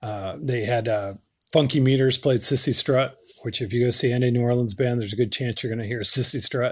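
Somewhat breathy, a man talks at a fairly quick pace and medium pitch with fairly even intonation. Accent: American. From Western Massachusetts. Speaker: podcast host. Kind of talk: casual monologue. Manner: halting, many fillers.

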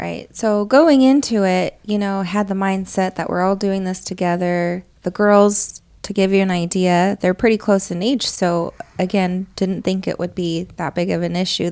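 A woman's unremarkable speaking voice at medium pitch, with fairly even intonation and a moderate pace. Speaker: podcast co-host and mother. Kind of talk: casual family chat.

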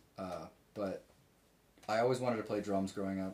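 Intonation stays fairly even while the words come fairly quickly. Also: man. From Richmond, Virginia. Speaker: musician. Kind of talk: casual chat. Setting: home office.

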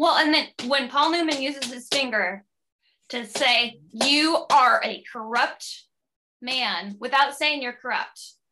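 A woman's raised, projected voice, high-pitched and bright and sharp in tone, at a very slow pace with ordinary pitch variation. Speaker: film podcast co-host. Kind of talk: casual chat.

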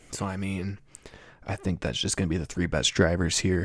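A man's voice with vocal fry in a very clean recording with a silent background. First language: not English. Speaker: sports podcast host. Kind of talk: solo podcast monologue. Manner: halting, frequent fillers.

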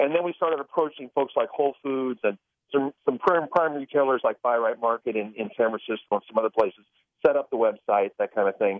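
A man with an unremarkable speaking voice talks at a medium pitch and a fairly quick pace. His intonation is lively. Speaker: drink mix entrepreneur, cafe owner. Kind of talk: radio interview.

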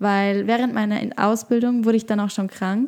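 The speaker has a plain, everyday voice with fairly even intonation. The pace is moderate. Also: woman. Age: 20s. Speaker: podcast host and yoga teacher. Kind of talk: solo podcast monologue.

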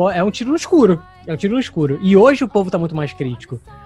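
With music in the background, a man in a Rio de Janeiro accent talks very fast at a high pitch, swinging very widely in pitch. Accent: carioca. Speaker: actor and voice dubber. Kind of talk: interview.

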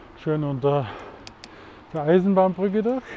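Lively intonation carried at a moderate pace. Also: man. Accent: Swabian. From Swabia, Germany. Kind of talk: casual monologue. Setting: outdoors, riding a mountain bike.

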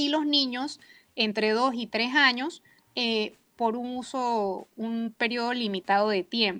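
A woman's very slow speech with ordinary pitch variation over a quiet background. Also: fairly high pitch for a woman. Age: 40s. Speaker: early childhood advocate. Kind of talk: radio panel discussion.

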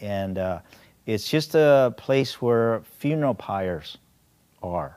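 In a very clean recording with a silent background, a man speaks at a very slow pace with lively intonation. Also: medium pitch for a man. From Korean-American, raised in the US. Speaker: adventurer and diver. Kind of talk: storytelling interview. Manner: halting, many fillers.

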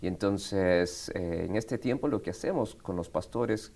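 At a moderate pace, a man speaks in a fairly low, dark and mellow voice with ordinary pitch variation. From Argentina, Buenos Aires (born in Quito, Ecuador). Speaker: pastor. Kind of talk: interview.

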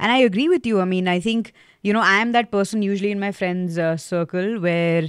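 A woman's normal speaking voice, medium in pitch, at a fairly quick pace with ordinary pitch variation. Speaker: podcast interviewer. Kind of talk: casual interview chat.

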